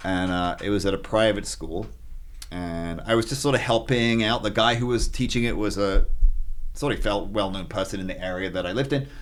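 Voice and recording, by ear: Using ordinary pitch variation, a man speaks at a moderate pace in a fairly low pitch.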